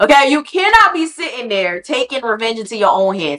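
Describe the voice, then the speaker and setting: Speaking at a fairly quick pace, a woman with a fairly high pitch sounds animated, her pitch swinging very widely. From Haitian heritage. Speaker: podcast host. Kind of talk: casual commentary.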